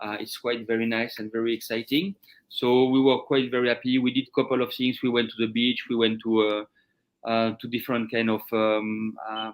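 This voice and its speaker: At a moderate pace, a man speaks with a French accent. His medium pitch stays monotone and flat. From France. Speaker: chef. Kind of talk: interview. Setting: live stream. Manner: halting.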